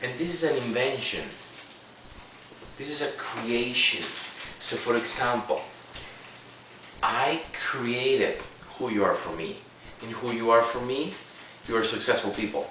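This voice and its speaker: In a room with audible echo and noticeable background noise, a man of medium pitch with a non-native accent talks fairly slowly, leaving long, frequent pauses. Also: ordinary pitch variation. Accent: noticeable foreign. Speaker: seminar presenter. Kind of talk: seminar talk. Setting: room with live audience. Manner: animated.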